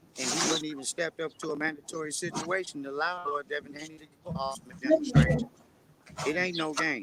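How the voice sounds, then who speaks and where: A man with an American accent talks at a very fast pace and fairly high pitch, with ordinary pitch variation. His loudness swings widely over noticeable background noise. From northern California. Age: 50s. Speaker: boxing camp member. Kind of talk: interview. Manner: rhyming, hype-man delivery.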